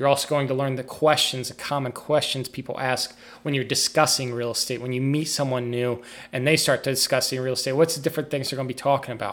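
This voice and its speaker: Talking very fast, a man keeps a medium pitch and a monotone, flat intonation. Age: 30s. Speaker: podcast host and real estate agent. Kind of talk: solo podcast monologue.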